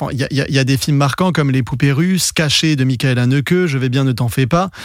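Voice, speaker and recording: A man with a plain, everyday voice talks at a fairly quick pace, his fairly high pitch showing ordinary pitch variation and his loudness very even. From Senegal. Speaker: podcast host, film journalist. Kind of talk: interview.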